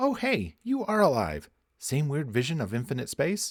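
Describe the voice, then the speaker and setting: A man does a put-on character voice at a fairly high pitch. He speaks at a moderate pace. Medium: read story. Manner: casual, blunt.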